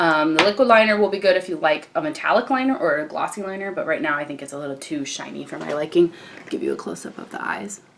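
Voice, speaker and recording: Lively intonation from a woman at a fairly low pitch, very fast and with hardly any pauses, over noticeable background noise. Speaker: beauty vlogger. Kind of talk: tutorial. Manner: casual.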